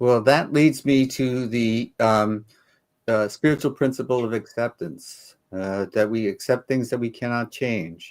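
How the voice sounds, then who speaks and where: On a very clean recording with a silent background, a man with an ordinary speaking voice talks at a fairly slow pace, medium pitch and ordinary pitch variation. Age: 60s. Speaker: co-host of a Q&A chat show. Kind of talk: casual chat.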